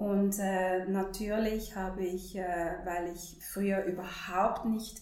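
Amid noticeable background noise and audible room echo, a woman speaks with monotone, flat intonation at a medium pitch. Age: 40s. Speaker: holistic counselor. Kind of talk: interview.

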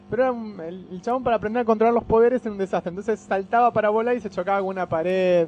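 Over noticeable background noise, a man with a high pitch talks in an animated tone at a very fast pace. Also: hardly any pauses. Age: 30s. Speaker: comics fan guest. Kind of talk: casual chat.

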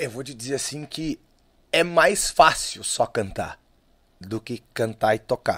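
A man speaks at a very slow pace, leaving long, frequent pauses, with big swings in loudness. The recording is very clean with a silent background and a dry, close sound with no echo. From southern Brazil (Lages, Santa Catarina). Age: 40s. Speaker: musician, singer and guitarist. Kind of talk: casual interview chat.

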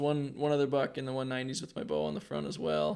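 A man speaks very fast in an American accent. His pitch is fairly high, with ordinary variation. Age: 20s. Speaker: professional archer and archery shop owner. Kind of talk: casual interview.

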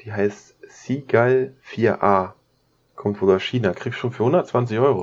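This man has an ordinary speaking voice with a fairly low pitch. His intonation stays fairly even. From Lower Saxony, Germany (Braunschweig). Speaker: photographer and filmmaker. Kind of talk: casual chat.

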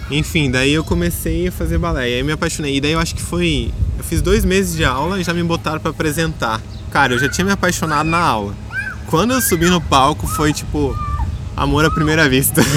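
With audible room echo and noticeable background noise around him, the man talks fairly quickly. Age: 20s. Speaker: ballet dancer and dance teacher. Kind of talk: casual interview. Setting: outdoors in a park.

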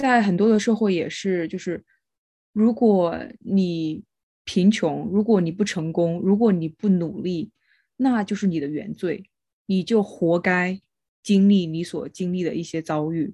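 In a quiet background, a woman speaks fairly slowly with a dark, mellow tone, a medium pitch and ordinary pitch variation. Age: young. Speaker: podcast co-host. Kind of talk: casual chat.

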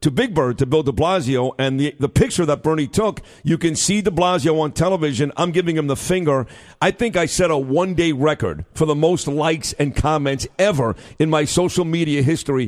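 A man with an American accent uses an ordinary speaking voice at a fairly quick pace, with ordinary pitch variation and very even loudness. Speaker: radio host. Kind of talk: live talk radio show. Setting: radio studio.

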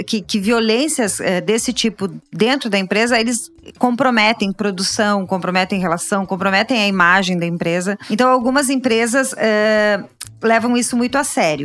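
Her pitch fairly high, a woman talks at a fairly slow pace. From Rio Grande do Sul, Brazil (Caxias do Sul). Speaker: labor lawyer. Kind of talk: interview. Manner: halting.

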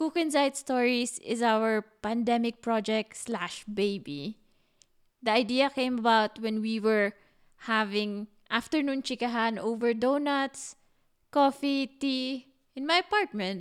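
In a very clean recording with a silent background, a woman with a Filipino accent speaks at a fairly high pitch and a fairly slow pace. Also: ordinary pitch variation. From Philippines. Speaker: podcast co-host. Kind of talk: casual chat.

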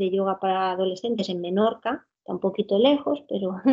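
A woman's voice with fairly even intonation. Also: quiet background. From Spain, Alcoy (Alicante). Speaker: physical education teacher and children's yoga teacher. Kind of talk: interview. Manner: halting, many repetitions and fillers.

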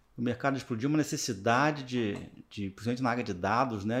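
Here is a man with an ordinary speaking voice at a medium pitch. His intonation is lively. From interior of Rio de Janeiro state, Brazil. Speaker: project management professional and university lecturer. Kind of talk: casual interview chat. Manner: relaxed, conversational, with frequent fillers.

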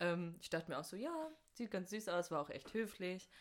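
A woman in a normal speaking voice, fairly low in pitch, at a moderate pace. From North Rhine-Westphalia, Germany. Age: 20s. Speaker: university student. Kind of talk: casual chat.

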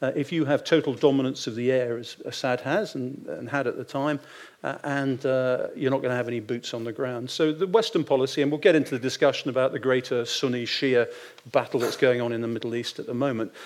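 A man with a British accent talks at a very fast pace. His medium-pitched voice shows ordinary pitch variation. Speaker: retired naval officer and strategic adviser. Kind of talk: panel discussion.

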